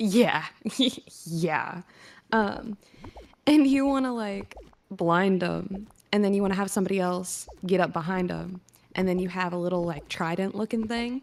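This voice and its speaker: Pausing long and often, a woman speaks at a moderate pace in a medium pitch with ordinary pitch variation. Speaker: caller. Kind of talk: casual chat.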